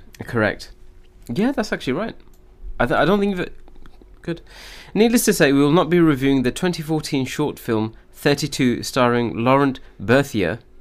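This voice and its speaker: With very wide pitch swings around a fairly high pitch, a man talks at a moderate pace and leaves long, frequent pauses. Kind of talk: casual chat.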